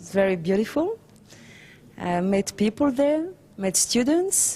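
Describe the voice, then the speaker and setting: Speaking very slowly with a French accent, a woman has a somewhat breathy voice with a dark, mellow tone and ordinary pitch variation. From France. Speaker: documentary filmmaker. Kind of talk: interview. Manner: halting.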